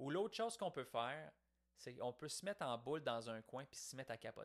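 A man with a Quebec accent and lively intonation. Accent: Québécois French. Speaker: podcaster. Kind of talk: reflective monologue. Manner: casual, conversational.

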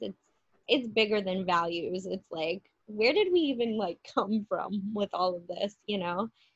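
A woman speaks in an ordinary speaking voice at medium pitch and a fairly slow pace. The sound is dry and close, with no echo. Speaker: podcast host. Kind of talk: casual chat with astrology talk.

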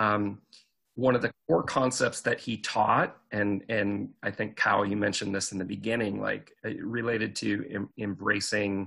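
Fairly low in pitch with vocal fry, a man uses a bright, sharp tone and ordinary pitch variation at a fairly slow pace. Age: 40s. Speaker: career coach and speaker. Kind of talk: casual chat.

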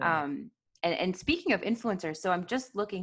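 With an American accent, a woman speaks at a fairly quick pace and medium pitch. Hers is an unremarkable speaking voice with lively intonation. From US. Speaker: podcast host. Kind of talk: interview, polished intro.

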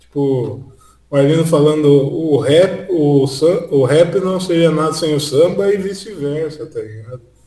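A man speaks at a very slow pace, somewhat breathy, with ordinary pitch variation. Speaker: podcaster. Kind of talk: casual chat.

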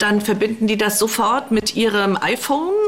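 A woman talks at a moderate rate, and noticeable background noise sits under her voice. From eastern Germany. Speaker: politician. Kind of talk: interview. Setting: remote call from office.

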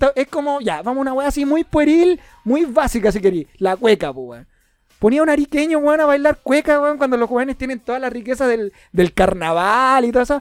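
In a Chilean accent, a man talks at a fairly quick pace with an extremely high pitch and lively intonation. The sound is dry and close, with no echo. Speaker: podcast host. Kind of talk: casual chat. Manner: animated.

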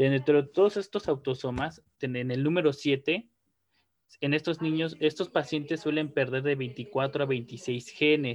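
Fairly high-pitched, a man talks in an unremarkable speaking voice with ordinary pitch variation at a fairly slow pace. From Mexico. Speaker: neuropsychologist and researcher. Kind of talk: interview. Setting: video call.

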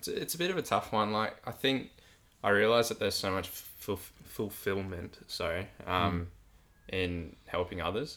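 A man with an Australian accent and a fairly low pitch speaks at a moderate pace with ordinary pitch variation. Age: 20s. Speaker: podcast host, high school coach. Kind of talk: casual chat. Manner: halting.

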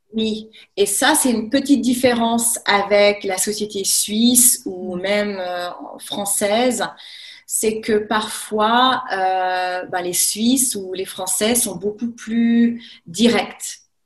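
A woman's somewhat breathy voice, very slow in pace, with fairly even intonation. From France, Haute-Savoie near Lake Geneva. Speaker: French teacher. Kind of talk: casual chat. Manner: halting.

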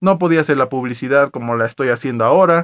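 A man speaks in a normal speaking voice at a fairly quick pace. His pitch sits in the medium range, with ordinary pitch variation. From Mexico, Acapulco (Guerrero). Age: 20s. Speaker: podcast host. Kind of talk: casual monologue.

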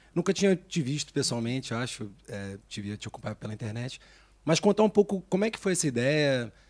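A man at medium pitch, with very wide pitch swings and big swings in loudness, a fairly quick pace, and a dry, close sound with no echo on a very clean recording against a silent background. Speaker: podcast co-host, off-screen voice. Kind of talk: casual chat.

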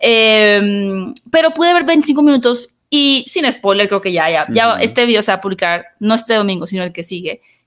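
A woman with a fairly high pitch speaks at a moderate pace with hardly any pauses. Her pitch swings very widely. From northern Mexico, Hermosillo (Sonora). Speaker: podcast host, film commentator. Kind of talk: casual interview chat.

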